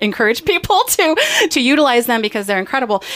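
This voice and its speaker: Noticeable background noise runs behind the speech. The woman's intonation is lively. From Ketchikan, Southeast Alaska. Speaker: radio talk show host. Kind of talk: casual radio interview. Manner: animated.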